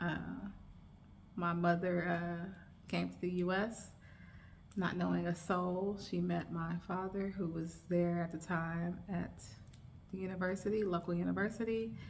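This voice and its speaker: With an American accent, a woman speaks at a fairly low pitch in a somewhat breathy, monotone, flat voice, moving at a fairly slow pace with long, frequent pauses and audible room echo. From United States. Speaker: lifestyle vlogger. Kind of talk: casual chat. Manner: relaxed, filler-heavy.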